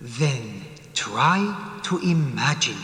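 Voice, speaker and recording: A cartoonish character voice rings out with clear echo. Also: man, fairly high pitch for a man. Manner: calm, questioning.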